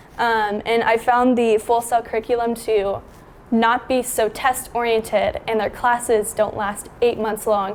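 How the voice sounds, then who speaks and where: A woman speaks at a fairly slow pace in a fairly high pitch, a normal speaking voice. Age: 20s. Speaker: freelance photographer and cinematographer. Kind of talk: casual talk to camera.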